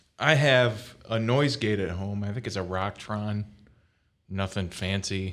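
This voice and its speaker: Against a very clean recording with a silent background, a man speaks in a plain, everyday voice at a fairly low pitch with ordinary pitch variation. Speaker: podcast co-host, guitar hobbyist. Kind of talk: casual chat. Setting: studio.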